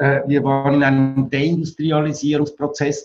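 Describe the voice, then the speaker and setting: Speaking at a fairly slow pace, a man with a fairly high pitch and a somewhat breathy voice keeps a monotone, flat intonation. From Switzerland. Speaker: architect and building exhibition director. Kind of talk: interview.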